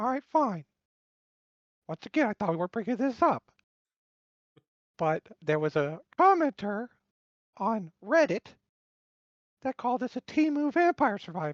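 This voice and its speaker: This cartoonish character voice sits fairly high and swings very widely in pitch. It moves at a moderate pace with long, frequent pauses. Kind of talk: interview answer. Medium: puppet.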